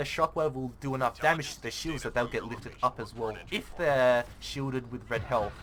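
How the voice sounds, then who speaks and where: Ordinary pitch variation marks a voice with a bright, sharp tone. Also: man. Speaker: gaming YouTuber. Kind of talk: gameplay commentary tutorial. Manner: fast; casual, halting with fillers.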